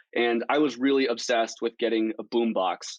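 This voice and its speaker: Fairly even intonation in a normal speaking voice from a man, pitched at a medium level. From Colorado, US. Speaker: tech entrepreneur. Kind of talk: interview. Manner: frequent filler words, um and uh.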